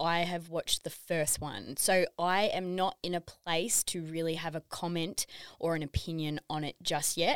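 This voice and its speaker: A woman's fairly low-pitched voice, an ordinary speaking voice with ordinary pitch variation, in a very clean recording with a silent background and a dry, close sound with no echo. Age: 30s. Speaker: wellness app owner. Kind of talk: casual chat. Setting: studio.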